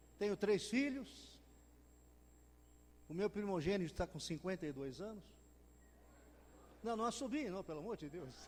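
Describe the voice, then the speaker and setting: Speaking at a moderate pace, a man with a high voice for a man uses lively intonation and leaves long, frequent pauses. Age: 70s. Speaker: preacher, retired lawyer. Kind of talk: sermon.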